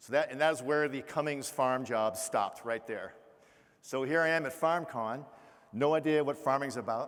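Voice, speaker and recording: Speaking in a Boston accent, the voice moves at a moderate pace with ordinary pitch variation. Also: man. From Massachusetts, Boston area. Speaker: keynote speaker, retired Navy officer. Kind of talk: keynote speech. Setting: stage with audience.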